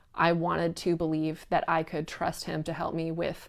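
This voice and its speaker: A woman talks at a fairly slow pace with a fairly low pitch. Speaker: cult survivor. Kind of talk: personal story told to camera.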